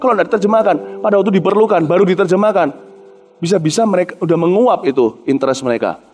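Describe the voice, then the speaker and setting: With an animated tone and very wide pitch swings, a man talks very fast over noticeable background noise. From Indonesia. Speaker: pastor. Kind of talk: sermon.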